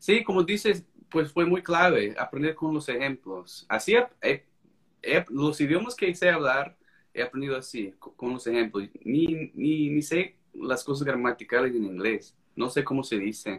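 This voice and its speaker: A man's fairly high voice with an American accent, fairly slow pace and very wide pitch swings. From United States. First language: English (speaking Spanish). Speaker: court interpreter and language-learning author. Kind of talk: casual interview on a live stream. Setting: video live stream.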